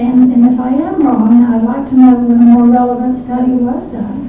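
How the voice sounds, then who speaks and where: Audible room echo and noticeable background noise surround a woman's high voice, delivered in a monotone, flat intonation. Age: 70s. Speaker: public commenter at city council meeting. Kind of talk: public comment at council meeting.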